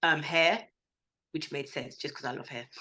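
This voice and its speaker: A woman's bright, sharp voice with a London accent and lively intonation. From North London. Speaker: school staff member. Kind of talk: interview. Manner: casual, hesitant.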